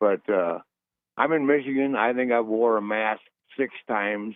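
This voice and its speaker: A plain, everyday voice from a man, fairly low in pitch, at a moderate pace with fairly even intonation. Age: 60s. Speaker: caller. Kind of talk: call-in talk radio.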